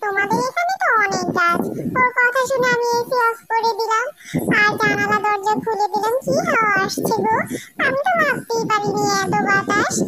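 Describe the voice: With music in the background, a woman uses a cartoonish character voice at an extremely high pitch and a moderate pace. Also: ordinary pitch variation.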